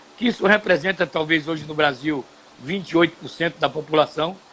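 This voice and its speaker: Noticeable background noise beneath a man's voice, fairly high in pitch. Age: 70s. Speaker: TV and radio broadcaster, former footballer. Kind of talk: live stream conversation. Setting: home studio.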